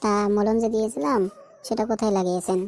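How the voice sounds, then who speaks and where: A cartoonish character voice sounding female speaks at a fairly high pitch. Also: fairly quick pace. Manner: deadpan.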